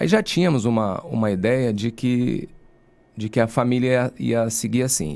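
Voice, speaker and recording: A man talks at a fairly slow pace in a plain, everyday voice. His intonation is lively. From Rio de Janeiro state, Brazil (Angra dos Reis). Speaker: lawyer and university professor. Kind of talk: podcast interview.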